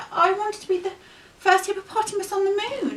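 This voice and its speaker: A woman's put-on character voice, squeaky and extremely high-pitched, at a very fast pace. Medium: read story.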